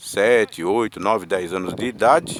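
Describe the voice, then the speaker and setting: Noticeable background noise runs beneath a man's voice as he talks at a moderate pace. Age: 60s. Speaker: vlogger sharing opinions. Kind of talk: personal monologue vlog. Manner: halting, with filler words.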